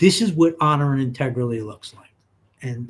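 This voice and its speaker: A man with an American accent talks at a fairly slow pace in a somewhat breathy voice, with a fairly high pitch and ordinary pitch variation. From New York City. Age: 60s. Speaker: insurance agent. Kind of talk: casual chat. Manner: animated.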